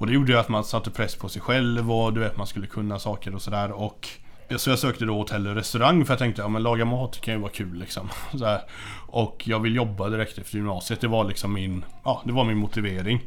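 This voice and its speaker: Fairly low and fairly even, a man's plain, everyday voice moves at a fairly quick pace. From western Sweden (Hindås, near Gothenburg). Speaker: teacher and death metal musician. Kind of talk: casual chat.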